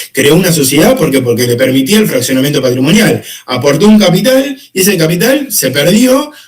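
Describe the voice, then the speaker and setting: With lively intonation, a man speaks through vocal fry. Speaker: law teacher. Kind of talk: lecture. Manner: fast.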